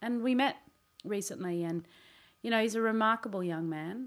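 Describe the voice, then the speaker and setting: Recorded very cleanly over a silent background, a woman speaks with an Australian accent and ordinary pitch variation. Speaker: podcast segment presenter. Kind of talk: casual chat. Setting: studio.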